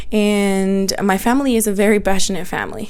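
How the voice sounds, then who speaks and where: A woman with a Spanish accent is heard with audible room echo and noticeable background noise. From Mexico, Guanajuato; moved to the US at twelve. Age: 30s. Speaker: podcaster and small business owner. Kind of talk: casual personal monologue. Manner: animated.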